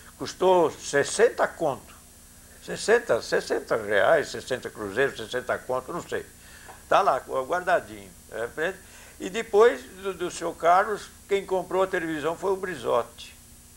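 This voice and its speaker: The man's pitch is high and his intonation lively. He speaks at a fairly slow pace. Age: 70s. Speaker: former cinema owner. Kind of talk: interview.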